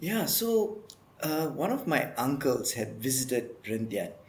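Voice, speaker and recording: A man's fairly slow delivery rings with audible room echo. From Malaysia, near Kuala Lumpur (Kajang). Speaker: marine conservationist. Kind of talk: interview.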